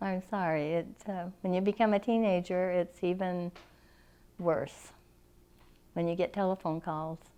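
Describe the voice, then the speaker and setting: With a Western US accent, a woman speaks in a dark, mellow tone at medium pitch. Her pace is fairly slow, her intonation fairly even, with long, frequent pauses. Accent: American Western. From Arizona, Phoenix. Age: 80s+. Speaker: oral history interviewee. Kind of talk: oral history interview. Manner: halting.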